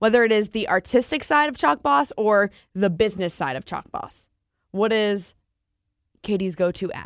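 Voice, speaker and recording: A woman's plain, everyday voice with lively intonation at a moderate pace, in a dry, close sound with no echo and a very clean recording with a silent background. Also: medium pitch for a woman, big swings in loudness. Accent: American. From New Jersey. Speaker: podcast host. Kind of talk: interview. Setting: studio.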